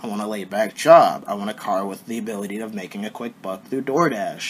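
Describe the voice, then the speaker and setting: Noticeable background noise fills the recording. Over it, a man's lively intonation carries his fairly quick speech. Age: 18. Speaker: vlogger. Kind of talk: personal vlog monologue.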